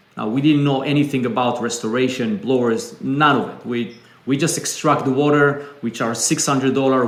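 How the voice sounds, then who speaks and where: Audible room echo surrounds a man speaking at a medium pitch and moderate pace. Noticeable background noise is also present. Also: hardly any pauses. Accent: Israeli. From Israel. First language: Hebrew. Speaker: business founder. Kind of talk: interview conversation.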